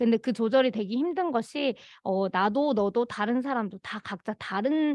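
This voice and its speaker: A woman talks in a normal speaking voice. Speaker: conflict mediation program facilitator. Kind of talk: work meeting presentation. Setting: meeting.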